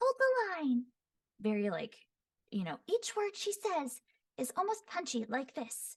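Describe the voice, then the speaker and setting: A woman's put-on character voice, high-pitched, breathy and raspy, with very wide pitch swings, a fairly slow pace and long, frequent pauses. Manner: punchy, enunciated.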